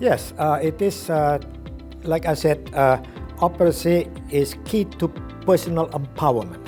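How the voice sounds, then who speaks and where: With music playing in the background, a man at a fairly high pitch speaks with very wide pitch swings. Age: 70s. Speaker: professor and trainer, author. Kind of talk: interview answer.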